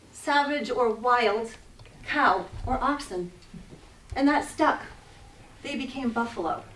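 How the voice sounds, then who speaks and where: There is audible room echo as a woman speaks at a high pitch. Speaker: naturalist guide giving a wildlife presentation. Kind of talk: public lecture with slides. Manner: animated.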